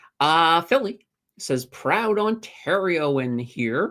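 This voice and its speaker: The speaker has a Maritime Canadian accent. The pace is very slow. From Nova Scotia, Canada (Halifax). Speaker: finance YouTuber. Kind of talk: livestream chat reading viewer questions. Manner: casual, filler-heavy.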